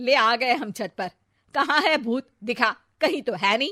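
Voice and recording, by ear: Putting on a character voice, a woman talks at a fairly slow pace with a fairly high pitch, a bright, sharp tone and lively intonation.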